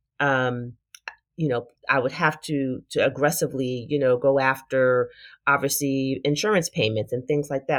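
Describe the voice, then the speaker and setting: With an American accent, a woman speaks in a very deep, low voice at a moderate pace. The recording is very clean, with a silent background. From Brooklyn, New York. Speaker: podcast host, physician and leadership coach. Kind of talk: solo podcast monologue.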